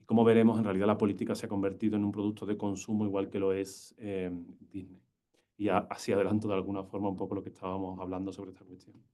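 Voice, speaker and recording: With an Andalusian accent, a man speaks at a very fast pace in a fairly low, dark, mellow voice. His intonation is monotone and flat, while his loudness swings widely. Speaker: university lecturer. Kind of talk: lecture. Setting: lecture hall with live and online audience. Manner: poor enunciation.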